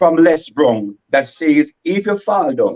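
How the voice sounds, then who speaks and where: With a Vincentian accent, the speaker talks at a fairly slow pace in a dry, close recording with no echo. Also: man. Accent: Vincentian Creole English. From St Vincent and the Grenadines. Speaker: comedy skit creator. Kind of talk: radio interview. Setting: radio studio guest.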